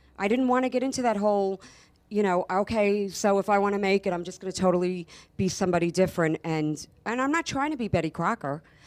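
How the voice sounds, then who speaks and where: Against a quiet background, a woman with an American accent speaks at a medium pitch and a very fast pace, her intonation lively. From New York. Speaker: actor. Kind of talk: talk show interview. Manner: animated.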